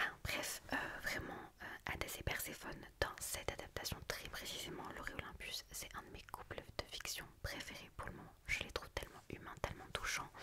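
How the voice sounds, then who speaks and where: A woman whispers in a gentle tone at a moderate pace, with hardly any pauses. Noticeable background noise runs underneath. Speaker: book reviewer and ASMR creator. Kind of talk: book review monologue, casual talk to camera. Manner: soft, whispered, gentle.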